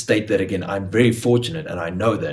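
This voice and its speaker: Audible room echo accompanies a man with a South African accent, whose somewhat breathy voice moves at a moderate pace. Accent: South African Afrikaans. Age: 20s. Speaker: actor. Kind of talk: casual chat.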